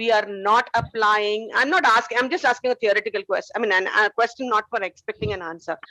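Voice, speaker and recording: A loud woman's voice, fairly high-pitched and fairly quick, with hardly any pauses and a dry, close sound free of echo. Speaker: nursing educator. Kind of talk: lecture. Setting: video call.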